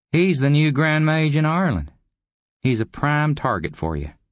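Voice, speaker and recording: A man puts on a raspy character voice at a fairly high pitch. His pace is moderate and his pitch varies in an ordinary way. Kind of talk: folksy slang, gonna and kinda. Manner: drawling, casual, mocking.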